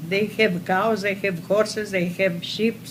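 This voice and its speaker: At a very slow pace, a somewhat breathy woman speaks at medium pitch with ordinary pitch variation. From Crete, Greece. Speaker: war survivor. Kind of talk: oral history interview. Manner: halting.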